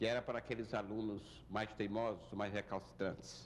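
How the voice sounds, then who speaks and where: The man's voice is fairly low in pitch and has vocal fry. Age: 70s. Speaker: university founder and former rector. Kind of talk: interview, life story.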